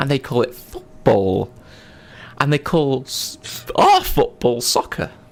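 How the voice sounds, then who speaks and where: A man with an American accent, at a very slow pace, with long, frequent pauses. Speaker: podcast host. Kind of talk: casual chat. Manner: animated.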